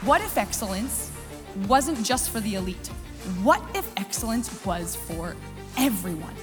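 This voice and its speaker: A woman talks fairly slowly. Behind her, music is playing. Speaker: motivational keynote speaker. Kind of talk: keynote speech to live audience. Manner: high-energy.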